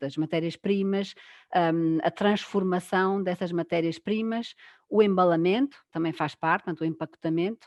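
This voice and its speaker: Speaking at a moderate pace, a woman uses a fairly low pitch. Her intonation stays fairly even. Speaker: food engineer. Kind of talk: online panel discussion. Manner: halting, many fillers.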